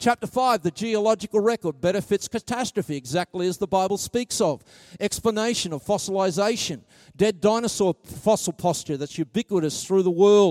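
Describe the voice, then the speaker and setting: A man with an Australian accent speaks at a moderate pace in a high voice with ordinary pitch variation, recorded dry and close with no echo on a very clean track with a silent background. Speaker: preacher. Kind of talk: sermon.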